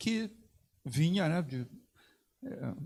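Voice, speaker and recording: A man speaks at a very slow pace. His voice is somewhat breathy, with a dark, mellow tone. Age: 70s. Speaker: sports organization president. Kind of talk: panel talk. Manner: halting, many fillers.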